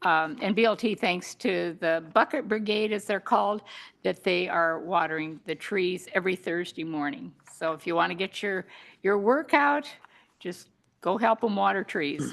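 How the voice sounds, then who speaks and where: Against a quiet background, the speaker talks at a moderate pace with lively intonation and vocal fry. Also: woman, medium pitch for a woman. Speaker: parks committee member. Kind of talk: public meeting update.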